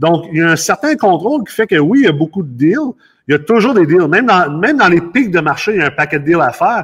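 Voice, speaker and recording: A very fast pace with lively intonation. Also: man, high pitch for a man. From Los Angeles, US, then Quebec from adolescence. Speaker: real estate investor and company CEO. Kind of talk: casual interview. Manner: halting, many repetitions and fillers.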